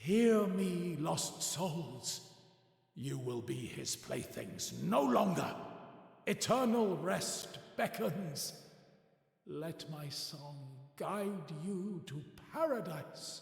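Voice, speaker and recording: Putting on a character voice, a man speaks at a high pitch and a very slow pace, with clear echo around him. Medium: game stream. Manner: solemn, dignified.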